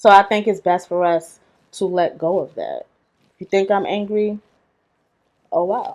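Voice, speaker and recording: A woman in a New York accent, with fairly even intonation and long, frequent pauses. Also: medium pitch for a woman, moderate pace. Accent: Bronx, New York. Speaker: video essayist. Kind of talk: video essay monologue. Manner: casual, conversational.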